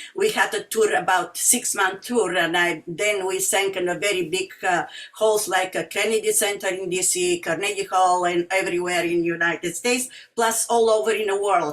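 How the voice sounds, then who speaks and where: Noticeable background noise sits behind a woman speaking at a moderate pace in a strong Bulgarian accent. Her pitch is medium and her intonation fairly even. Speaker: singer and music teacher. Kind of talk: community talk. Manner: halting, many fillers.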